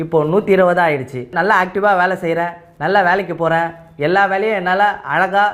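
Noticeable background noise runs under this man's high-pitched voice, which shows ordinary pitch variation. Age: 30s. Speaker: auto rickshaw driver giving testimonial. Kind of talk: testimony.

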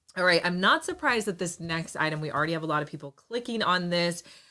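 Against a quiet background, a woman speaks in a fairly low pitch with a bright, sharp tone and ordinary pitch variation. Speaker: live shopping host. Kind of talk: live stream product presentation. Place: home room.

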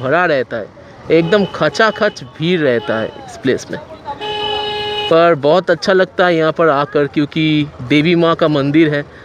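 Over faint background noise, a man talks at a very fast pace with fairly high pitch and ordinary pitch variation.

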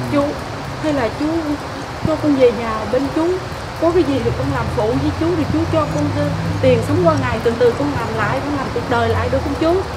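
Over loud background noise, a woman talks at a moderate pace with long, frequent pauses. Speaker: actress in a skit. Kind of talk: dramatic acted dialogue. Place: open country.

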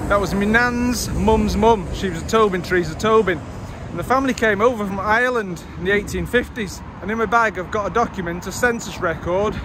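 Against noticeable background noise, a man with a high pitch speaks at a fairly quick pace with fairly even intonation, in a dry sound with no echo. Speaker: vlogger on a local history walk. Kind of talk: casual vlog chat. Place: street. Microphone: phone near.

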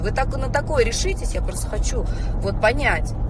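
A woman talks at a fairly quick pace. Loud background noise surrounds her dry, echo-free sound. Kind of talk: casual vlog rant. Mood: indignant, scolding. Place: car. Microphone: phone near.

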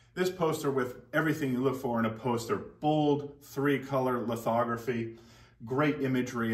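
In a quiet background with audible room echo, a man speaks at a moderate pace with fairly even intonation. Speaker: auctioneer. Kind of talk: auction house item presentation to camera. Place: shop. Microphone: camera far.

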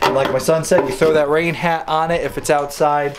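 A man talks at a moderate pace. Faint background noise can be heard.

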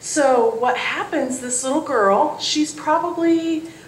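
Audible room echo and faint background noise surround the woman's voice. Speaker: children's storyteller. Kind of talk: storytelling to children. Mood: warm, cheerful. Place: church.

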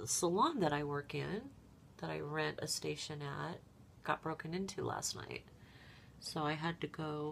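A woman talks fairly slowly with light noise in the background. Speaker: makeup vlogger. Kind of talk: casual makeup tutorial chat. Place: home room. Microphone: webcam.

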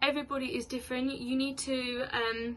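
A woman with a high, bright, sharp voice speaks at a moderate pace in a monotone, flat intonation over light background noise. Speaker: vlogger. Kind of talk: casual vlog chat. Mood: open, warm, sometimes laughing. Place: home room. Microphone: phone near.

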